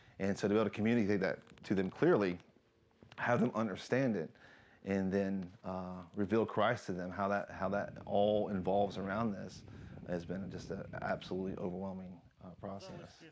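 In a plain, everyday voice, a man with an American accent speaks at a moderate pace, pitched fairly low with fairly even intonation. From United States. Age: 40s. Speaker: soldier and missionary. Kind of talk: interview testimony.

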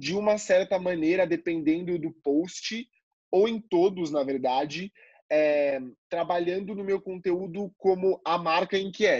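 With a high pitch and ordinary pitch variation, a man speaks at a very slow pace over a quiet background. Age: 20s. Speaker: marketing student and content creator. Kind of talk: casual interview.

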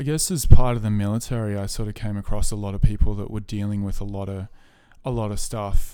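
Speaking very fast in an Australian accent, a man with a fairly low pitch and a dark, mellow tone swings widely in loudness. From rural New South Wales, Australia. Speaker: musician and army veteran. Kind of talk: casual chat.

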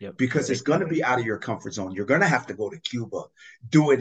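A man talks in an energetic tone against a quiet background. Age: 40s. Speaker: business coach and former football coach. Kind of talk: casual interview chat. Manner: energetic, motivational.

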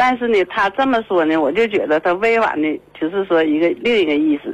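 Very wide pitch swings in a woman's medium-pitched speech. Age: 50s. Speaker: radio call-in caller. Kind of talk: call-in conversation about personal problem. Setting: phone call. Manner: hesitant, many fillers and repetitions.

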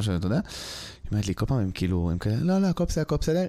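At a very fast pace, a man talks in a fairly low, dark, mellow voice. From Israel, raised in a West Bank settlement. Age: 30s. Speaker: stand-up comedian. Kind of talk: casual chat.

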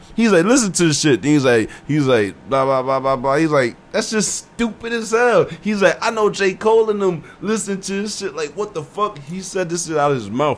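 Hardly pausing, a man with a high pitch speaks at a moderate pace with lively intonation. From New Jersey, Willingboro (from age 13), Haitian family. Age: 20s. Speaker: rapper. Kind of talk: casual chat.

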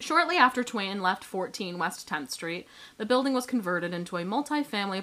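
This is plain reading aloud. The pitch rises and falls with lively intonation.

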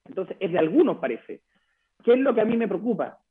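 Here a man speaks with ordinary pitch variation. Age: young. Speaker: political candidate. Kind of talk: radio interview.

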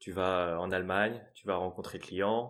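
Speaking fairly slowly in a normal speaking voice, a man shows ordinary pitch variation. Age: 30s. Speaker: sales engineer turning freelance ads consultant. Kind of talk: interview, casual chat.

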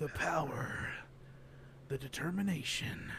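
Through clear background noise, a man with a fairly high pitch speaks at a fairly slow pace. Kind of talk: movie trailer announcer parody. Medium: comedy sketch. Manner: grandiose, dramatic.

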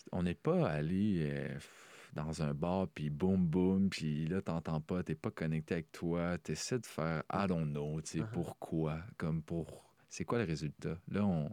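A man's very deep, low voice, very slow, with fairly even intonation and a dark, mellow tone. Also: dry, close sound with no echo, very clean recording, silent background. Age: 20s. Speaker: podcast co-host. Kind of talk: casual chat.

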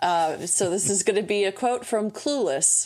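Over a silent background on a very clean recording, a woman with an American accent uses a plain, everyday voice, speaking at a moderate pace with lively intonation. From United States. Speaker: podcast producer. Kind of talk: casual chat.

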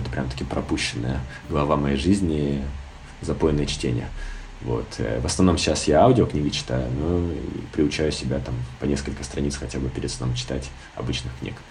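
A man talks with lively intonation over noticeable background noise, and audible room echo surrounds his voice. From Siberia, Irkutsk. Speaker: film critic. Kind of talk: casual interview.

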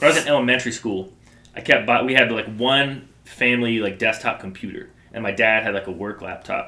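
Ordinary pitch variation marks a man's medium-pitched delivery in a plain, everyday voice. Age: 20s. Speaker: podcast co-host. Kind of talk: casual chat.

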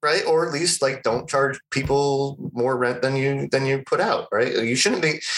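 A man's fairly high voice with an American accent, an unremarkable speaking voice, moderate pace, ordinary pitch variation, very even loudness and hardly any pauses. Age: 40s. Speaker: podcast co-host. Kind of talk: casual chat.

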